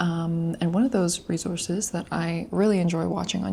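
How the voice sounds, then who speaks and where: A quiet woman speaks at a fairly low pitch. Her tone is dark and mellow, and somewhat breathy. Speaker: language learner vlogger. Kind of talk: casual study vlog. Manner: hesitant, many fillers.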